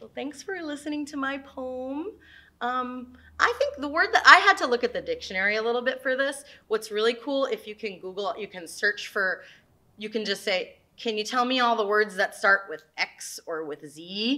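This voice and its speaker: Over a quiet background, a woman speaks at a moderate pace in a high, bright, sharp tone, with very wide pitch swings and big swings in loudness. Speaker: teaching artist. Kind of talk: poetry reading, children's lesson. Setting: video lesson for schoolchildren. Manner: clear, friendly, teacherly. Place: classroom.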